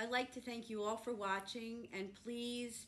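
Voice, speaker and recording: A woman with fairly even intonation over light background noise. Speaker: school district administrator. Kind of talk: welcome address. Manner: uses fillers. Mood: warm, earnest. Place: meeting room.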